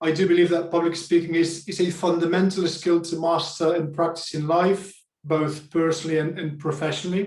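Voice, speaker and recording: In a high voice with monotone, flat intonation, a man talks at a moderate pace. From Spain. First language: Spanish. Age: 40s. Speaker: public speaking coach. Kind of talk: talk to online group. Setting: video call.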